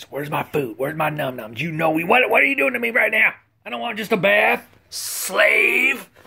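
Putting on a character voice, a man speaks at a moderate pace at a fairly high pitch with very wide pitch swings. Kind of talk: comic, baby-talk. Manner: excited, demanding, bratty.

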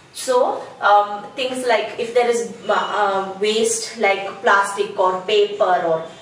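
Light background noise and audible room echo surround a woman who speaks at a very slow pace with fairly even intonation. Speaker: teacher trainer. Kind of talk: tutorial. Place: home room. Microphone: camera far.

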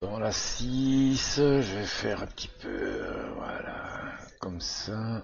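The man's voice shows ordinary pitch variation. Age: 50s. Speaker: sim racing gamer. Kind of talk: gameplay commentary. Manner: hesitant, many fillers.

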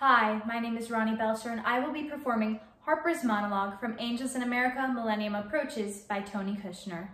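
A woman talks at a very fast pace with hardly any pauses, her pitch varying in an ordinary way. Audible echo from the room surrounds her voice. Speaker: actor. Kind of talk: monologue performance. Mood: dreamy, wistful delivery. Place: home room. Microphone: camera far.

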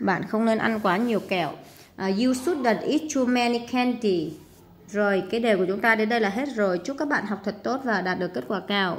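Her pitch fairly high for a woman, this woman speaks at a moderate pace with lively intonation. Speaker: English teacher. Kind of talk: tutorial. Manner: hesitant, many fillers.

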